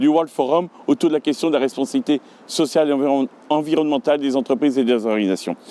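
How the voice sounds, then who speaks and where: A man speaks at a very fast pace in a dark, mellow tone. The sound is dry and close with no echo, in a very clean recording with a silent background. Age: 50s. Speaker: local election candidate. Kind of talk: campaign video statement.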